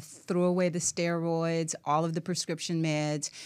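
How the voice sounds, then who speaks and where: A woman speaks in a plain, everyday voice at a fairly low pitch and a moderate pace. Her intonation is fairly even, on a very clean recording with a silent background. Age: 60s. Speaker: professor, author and wellness expert. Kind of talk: radio interview. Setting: studio.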